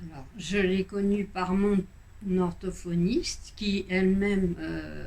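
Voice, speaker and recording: A woman's somewhat breathy, medium-pitched voice, very slow in pace, with ordinary pitch variation. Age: 60s. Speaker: patient giving testimonial. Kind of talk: testimony. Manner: halting, many hesitations.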